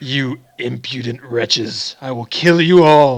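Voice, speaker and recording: A man booms in a put-on character voice of medium pitch, going at a fairly slow pace. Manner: menacing, imperious.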